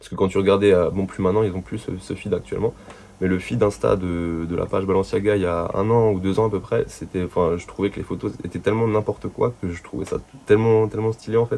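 The voice has a dark, mellow tone and fairly even intonation, delivered at a very fast pace. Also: man, fairly low pitch for a man. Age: 20s. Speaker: clothing brand founder. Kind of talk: casual chat.

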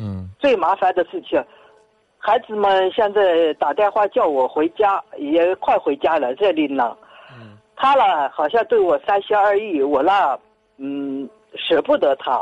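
A woman speaks at a very slow pace and a medium pitch. Her voice moves in very wide pitch swings. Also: dry, close sound with no echo. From Tianshui, Gansu. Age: 60s. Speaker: caller, retired worker. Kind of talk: personal story on call-in show. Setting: phone call. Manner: halting.

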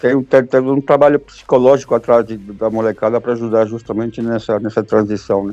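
Talking fairly quickly with hardly any pauses, a man has a medium pitch and a dark, mellow tone. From Brazil, São Paulo and Minas Gerais. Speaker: football fan. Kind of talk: casual chat.

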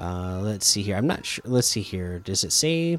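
With an American accent, a man moves through very wide pitch swings at a moderate pace, recorded with a dry, close sound and no echo. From Oregon coast, US. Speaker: gaming podcast host. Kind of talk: casual solo podcast monologue. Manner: hesitant, many fillers.

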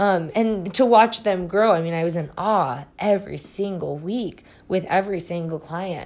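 In a Midwestern US accent, a woman talks at a moderate pace and medium pitch. Her pitch varies ordinarily, on a very clean recording with a silent background. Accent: US Midwest. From Iowa, US Midwest. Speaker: psychic reader and podcast host. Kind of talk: personal storytelling monologue. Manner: frequent filler words and hesitations.

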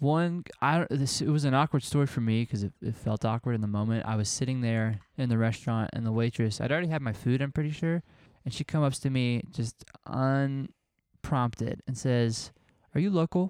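A plain, everyday voice moves at a moderate pace with ordinary pitch variation, recorded very cleanly with a silent background and a dry, close sound with no echo. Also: man, medium pitch for a man. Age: 20s. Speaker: podcast co-host. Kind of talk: casual chat.

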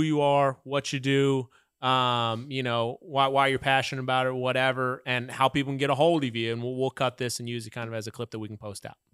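Very fast and fairly even in intonation, a man with an American accent and medium pitch speaks in a dry, close sound with no echo on a very clean recording with a silent background. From Oklahoma (Muskogee). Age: 30s. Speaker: podcast host. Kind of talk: casual chat. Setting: studio.

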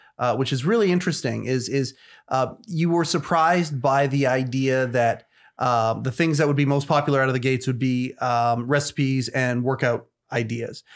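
In a very clean recording with a silent background, a man with a Canadian accent and medium pitch talks at a fairly quick pace, with very even loudness and ordinary pitch variation. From Canada. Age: 40s. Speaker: podcast host. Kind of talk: casual interview. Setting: studio. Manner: halting, many fillers and repetitions.

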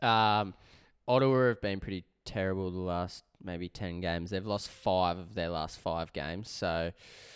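Speaking at a moderate pace, a man has an Australian accent. The recording is very clean, with a silent background. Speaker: sports betting podcast co-host. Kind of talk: casual chat.

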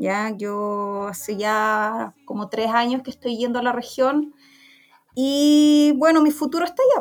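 A woman speaks very slowly in a high voice. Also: ordinary pitch variation. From Chile, Santiago. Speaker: veterinarian and researcher. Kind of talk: interview. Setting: community radio program.

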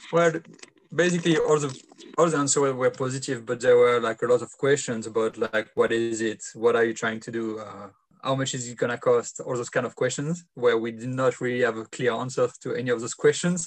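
The voice has ordinary pitch variation and a French accent. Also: man, medium pitch for a man, fairly quick pace. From France. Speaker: footy player and organiser. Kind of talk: casual interview.

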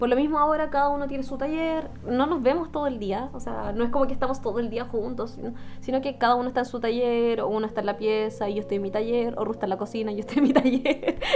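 Over background music, a woman speaks at a very fast pace with hardly any pauses. Her pitch is high. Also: ordinary pitch variation. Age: 20s. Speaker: podcast co-host. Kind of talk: casual chat.

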